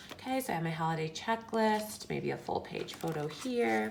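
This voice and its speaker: A woman's fairly low voice with very wide pitch swings, at a moderate pace. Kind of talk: casual craft tutorial talk to camera. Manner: whispered.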